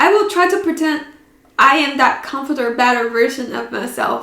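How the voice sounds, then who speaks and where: With a non-native accent and lively intonation, a woman speaks amid audible room echo. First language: not English. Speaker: podcast host. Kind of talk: casual chat. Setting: in front of a camera.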